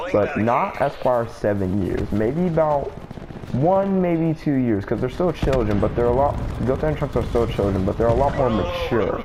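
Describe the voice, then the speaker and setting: With music in the background and audible room echo, a man speaks at a medium pitch and moderate pace with lively intonation. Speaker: gaming YouTuber. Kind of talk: casual monologue video. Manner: halting, filler-heavy.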